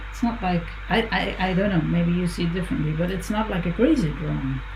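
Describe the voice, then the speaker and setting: A woman talks at a moderate pace. Noticeable background noise and audible room echo come through. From Netherlands. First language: Dutch. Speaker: visual artist. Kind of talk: casual chat while drawing. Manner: mumbling; halting.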